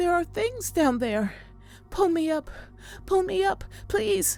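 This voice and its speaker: A put-on character voice, high-pitched and strained, speaks at a fairly slow pace with very wide pitch swings. Music plays in the background. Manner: strained, panicked.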